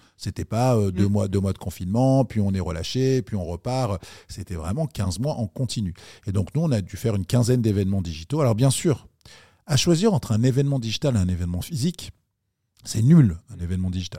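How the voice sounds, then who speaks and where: A man with a dark, mellow, somewhat breathy tone and fairly low pitch talks at a fairly quick pace with lively intonation. The recording is very clean with a silent background, dry and close with no echo. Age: 40s. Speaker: entrepreneur. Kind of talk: interview.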